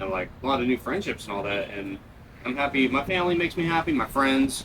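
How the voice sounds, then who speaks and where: A man's voice at medium pitch, lively in intonation, very fast, over noticeable background noise. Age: 20s. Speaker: interviewee. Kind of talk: casual interview. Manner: halting, many fillers.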